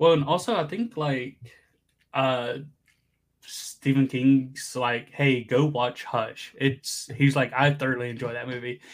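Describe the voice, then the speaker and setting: Speaking at a fairly slow pace, a man uses a normal speaking voice with fairly even intonation. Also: medium pitch for a man. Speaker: podcast guest, streamer. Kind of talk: casual chat.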